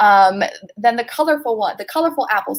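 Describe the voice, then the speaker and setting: In a Californian accent, a woman speaks at a moderate pace with lively intonation. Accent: Californian American English. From Los Angeles, California (Pasadena). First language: Spanish. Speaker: sales strategy manager. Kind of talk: interview.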